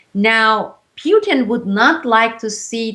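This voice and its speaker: With ordinary pitch variation, the woman's voice sits fairly high. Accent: Turkish. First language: Turkish. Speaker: whistleblower and editor. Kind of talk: interview.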